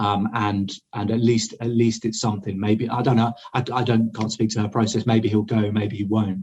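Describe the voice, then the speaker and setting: A somewhat breathy voice with an English accent speaks at a moderate pace in a monotone, flat intonation. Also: man, medium pitch for a man. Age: 30s. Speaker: army deserter, war dissident. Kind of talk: interview. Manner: halting.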